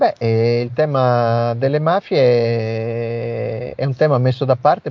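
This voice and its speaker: This is an unremarkable speaking voice. The pitch varies in an ordinary way. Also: man. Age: 50s. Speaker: national coordinator of an anti-mafia association. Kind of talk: interview.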